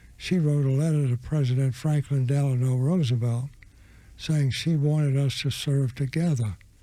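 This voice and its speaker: An American-accented man with a fairly high pitch speaks at a moderate pace in a dark, mellow tone, his loudness very even and his intonation fairly even. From US South, Florida. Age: 100+ (80s+). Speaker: war veteran. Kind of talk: interview storytelling. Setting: studio.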